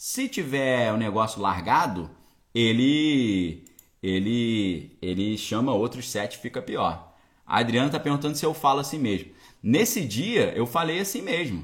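Speaking fairly slowly in a Brazilian accent, a man at a medium pitch makes very wide pitch swings. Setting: home with bookshelves, recording to camera.

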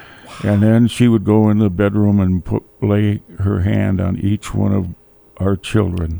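Using an Upper Midwest accent, a man talks at a fairly low pitch and fairly slow pace, with monotone, flat intonation. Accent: Upper Midwest (Minnesota). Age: 70s. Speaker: widower sharing faith story. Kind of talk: testimony. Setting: studio.

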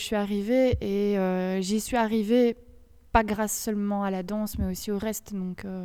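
A woman's dark, mellow tone at medium pitch, flat and monotone in intonation, at a fairly slow pace. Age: 30s. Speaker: dancer, choreographer and doctor. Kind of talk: casual interview. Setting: dance school room during classes.

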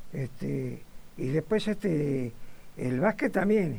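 A man with a Rioplatense accent, lively intonation and vocal fry. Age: 90s. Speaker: retired butcher, football fan. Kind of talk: interview. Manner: halting.

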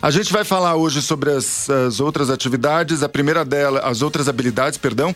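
Music plays in the background, and the loudness stays very even. The pace is fairly quick with hardly any pauses. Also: man, fairly high pitch for a man, ordinary pitch variation. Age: 40s. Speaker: radio host. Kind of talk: radio talk show. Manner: halting.

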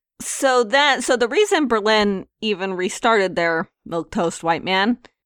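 In a very clean recording with a silent background, a woman speaks with an ordinary speaking voice. Her intonation is lively and her pace fairly slow. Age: 30s. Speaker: video game podcast co-host. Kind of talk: casual chat.

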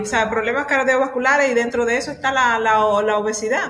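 Over noticeable background noise, a woman speaks at a moderate pace with a high pitch and fairly even intonation. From Dominican Republic, La Vega. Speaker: physical education teacher. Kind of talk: casual discussion podcast.

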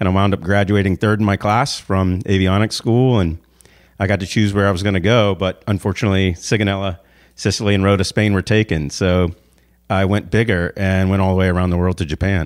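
A man with an American accent and a normal speaking voice, fairly low in pitch, with fairly even intonation, very even loudness and a fairly quick pace, on a very clean recording with a silent background. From US South, Savannah, Georgia. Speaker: motivational speaker and author, navy veteran. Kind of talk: interview.

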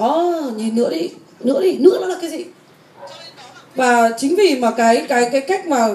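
Noticeable background noise mixed with audible room echo. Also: woman. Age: 40s. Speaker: personal development teacher. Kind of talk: lecture.

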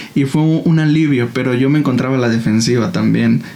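Through audible room echo and noticeable background noise, a man with a medium pitch speaks at a moderate pace in fairly even intonation. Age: 20s. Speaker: church worship leader and content creator. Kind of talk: casual interview about faith and life.

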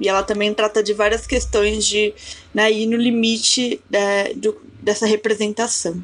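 Over music in the background, a woman talks at a fairly slow pace with a fairly high pitch and monotone, flat intonation. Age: 20s. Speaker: cultural producer and art historian. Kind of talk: casual chat.

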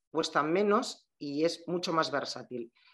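A woman's very deep, low voice with ordinary pitch variation over a quiet background. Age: 40s. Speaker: shop owner. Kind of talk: casual interview chat.

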